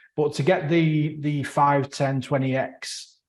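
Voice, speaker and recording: The voice carries a Mancunian accent. It sounds somewhat breathy. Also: man. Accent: Northern English (Mancunian). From northern England, Manchester. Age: middle-aged. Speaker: podcast host, software developer. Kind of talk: casual chat. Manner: halting, many fillers and repeats.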